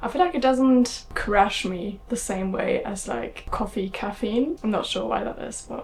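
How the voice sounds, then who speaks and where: Over noticeable background noise, a woman with a German accent speaks at a moderate pace with a fairly high pitch. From Germany. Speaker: vlogger. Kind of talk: casual vlog talk. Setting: at home.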